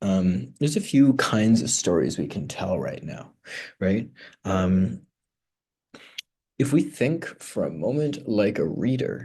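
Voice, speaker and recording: With vocal fry and a dark, mellow tone, a man talks at a very slow pace, his pitch swinging very widely between long, frequent pauses. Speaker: writer vlogging a writing challenge. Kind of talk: casual vlog talk. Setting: conference room in a public library. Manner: hesitant, filler-heavy.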